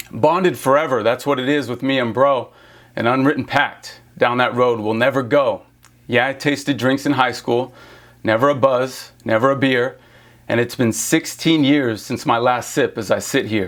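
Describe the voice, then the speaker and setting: At a moderate pace, a man with medium pitch talks in an ordinary speaking voice, his intonation fairly even. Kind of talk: spoken word poetry.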